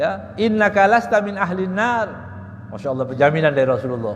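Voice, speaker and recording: A man speaks at a moderate pace with a high pitch and very wide pitch swings. There is audible room echo and noticeable background noise. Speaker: Islamic preacher. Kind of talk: religious lecture on Quran exegesis. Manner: loud.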